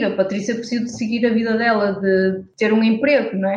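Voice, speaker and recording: A woman talks at a fairly quick pace with a fairly high pitch. Hers is a plain, everyday voice. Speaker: environmental activist and blogger. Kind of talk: interview conversation.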